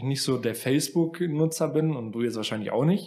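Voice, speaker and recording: A man uses a plain, everyday voice at a fairly high pitch. He moves at a fairly quick pace with lively intonation. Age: 20s. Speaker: podcast co-host. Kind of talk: casual chat.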